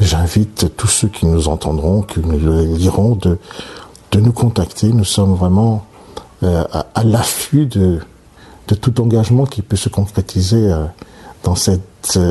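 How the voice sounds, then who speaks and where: A man with a fairly low pitch speaks at a very slow pace. Long pauses come often. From Martinique, childhood in Africa and Europe. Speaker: surgeon and oncologist. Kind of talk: interview. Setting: at his home. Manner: halting, many hesitations.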